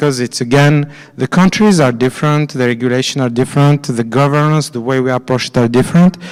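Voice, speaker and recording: The man's voice sits fairly high. He talks with a French accent. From France. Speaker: finance executive at a conference. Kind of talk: conference presentation. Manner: halting, many fillers and repetitions.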